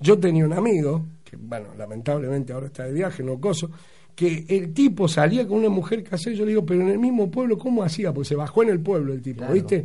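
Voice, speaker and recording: A man's high-pitched, dark, mellow voice at a very fast pace, with very wide pitch swings, big swings in loudness and audible room echo. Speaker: radio host. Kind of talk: casual chat. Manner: animated.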